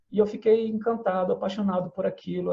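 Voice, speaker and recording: A man is talking here. His delivery moves at a fairly quick pace. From Brazil, São Gonçalo (Greater Rio de Janeiro). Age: 40s. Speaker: poet. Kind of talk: interview. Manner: hesitant, repeats words.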